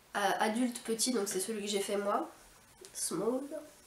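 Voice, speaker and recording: In a room with audible echo, a woman talks at a moderate pace with a fairly high pitch and fairly even intonation. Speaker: knitting and sewing podcaster. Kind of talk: casual hobby podcast talk. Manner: hesitant, many filler sounds.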